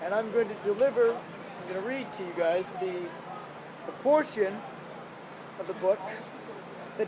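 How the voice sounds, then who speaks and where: A man speaks at a fairly quick pace in a high pitch with ordinary pitch variation. Noticeable background noise runs behind him. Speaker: author and actor. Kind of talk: casual talk to camera.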